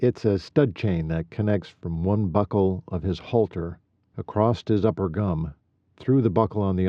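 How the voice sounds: The background stays quiet. Ordinary pitch variation runs through a natural reading voice.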